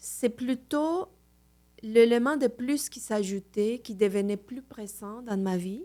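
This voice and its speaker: A woman with a Mexican accent, a fairly high voice, and a dark, mellow tone, at a very slow pace, with ordinary pitch variation, big swings in loudness, and a very clean recording over a silent background. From Mexico City, Mexico. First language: Spanish (speaking French). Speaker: Reiki master. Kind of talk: podcast interview.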